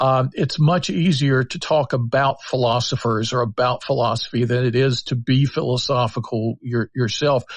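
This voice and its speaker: The voice is somewhat breathy, with fairly even intonation at a moderate pace and hardly any pauses. The sound is dry and close with no echo, over a quiet background. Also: man, medium pitch for a man. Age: 60s. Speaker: public philosopher. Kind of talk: podcast interview. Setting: live audio chat app.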